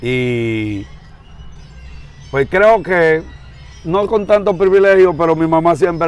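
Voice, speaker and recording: A Dominican accent with very wide pitch swings and long, frequent pauses, over music in the background. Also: man. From Dominican Republic, San Pedro de Macorís. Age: 60s. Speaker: pastor. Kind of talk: interview.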